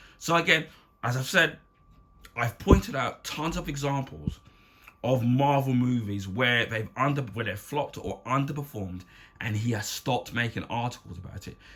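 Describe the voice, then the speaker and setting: Here is a man with an English accent. He speaks at a moderate pace and a medium pitch. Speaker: YouTube commentator. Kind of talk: unscripted rant. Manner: halting.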